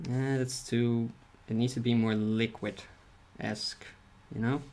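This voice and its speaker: A man at a medium pitch, very slow in pace, with very even loudness and monotone, flat intonation. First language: not English. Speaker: streamer and artist. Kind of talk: casual livestream chat while drawing. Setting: livestream. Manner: mumbling, soft articulation; halting, repeats words.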